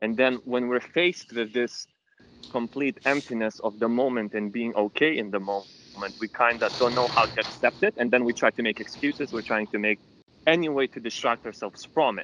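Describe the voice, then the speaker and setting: At a fairly quick pace, a man of medium pitch speaks with a bright, sharp tone and ordinary pitch variation, in a dry, close sound with no echo. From Lithuania. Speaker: meditation group member. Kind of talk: casual chat. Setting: outdoors, walking in rain on a call.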